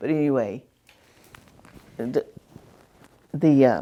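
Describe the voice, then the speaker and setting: Speaking with a Southern US accent, a woman has a very deep, low pitch and a dark, mellow tone. Her pace is fairly slow and her intonation fairly even. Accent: Southern American. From Southern Virginia. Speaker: retired teacher. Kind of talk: oral history interview answer.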